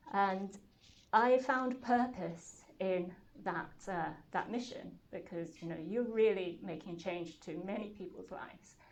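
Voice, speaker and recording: Recorded with audible room echo, a woman talks at a fairly slow pace with a medium pitch, ordinary pitch variation and big swings in loudness. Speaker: startup founder and CEO. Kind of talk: talk to an audience. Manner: hesitant, many fillers.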